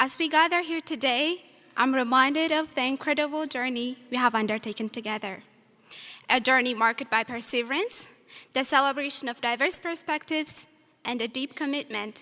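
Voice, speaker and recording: A woman with a high pitch and a bright, sharp tone speaks in a raised, projected voice at a fairly quick pace. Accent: non-native. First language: not English. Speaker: student speaker. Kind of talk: graduation speech. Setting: stage with audience. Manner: formal.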